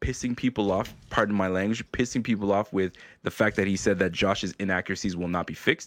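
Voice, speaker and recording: A man talks in an ordinary speaking voice, fairly low in pitch and fairly quick in pace, with ordinary pitch variation. The sound is dry and close with no echo, over a quiet background. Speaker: YouTube show host, Bills fan. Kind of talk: casual chat.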